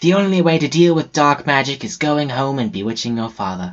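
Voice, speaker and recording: A man's put-on character voice, fairly high in pitch and fairly quick, against a quiet background. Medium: read story.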